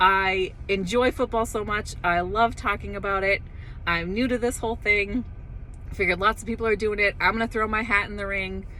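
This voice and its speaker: A woman's medium-pitched voice, animated and bright with a sharp tone. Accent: American. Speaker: football commentator YouTuber. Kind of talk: solo sports commentary vlog. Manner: fast.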